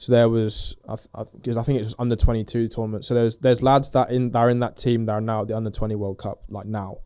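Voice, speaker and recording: In a very clean recording with a silent background, a man with an English accent speaks at a very fast pace with hardly any pauses. His medium-pitched voice has a dark, mellow tone, monotone, flat intonation, and big swings in loudness. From England. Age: 20s. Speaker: professional footballer. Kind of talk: casual interview. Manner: hesitant, many fillers.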